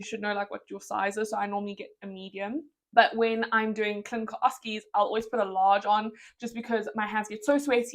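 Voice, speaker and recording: Talking fairly quickly in a South African accent, the woman has a fairly high pitch. Her intonation is fairly even, while her loudness swings a lot. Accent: British-sounding English, South African. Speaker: medical student vlogger. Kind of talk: casual Q&A vlog.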